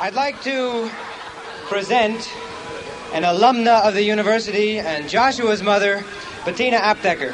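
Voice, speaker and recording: With long, frequent pauses and ordinary pitch variation, a man talks in a high pitch against noticeable background noise. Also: moderate pace. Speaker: rally emcee. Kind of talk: rally announcements. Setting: outdoor rally, steps.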